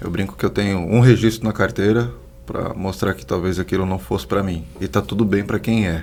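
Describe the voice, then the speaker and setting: A man with a very deep, low pitch speaks at a moderate pace. His intonation is lively, and background noise is noticeable. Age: 30s. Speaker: social entrepreneur, institute founder. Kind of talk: podcast interview.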